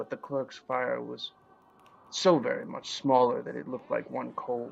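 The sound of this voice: Vocal fry runs through a man's voice as he talks at a fairly slow pace with little pitch movement. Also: medium pitch for a man.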